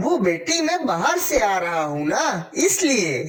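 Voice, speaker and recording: A cartoonish character voice at fairly high pitch moves at a moderate pace. Its pitch swings are very wide. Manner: polite, gentle.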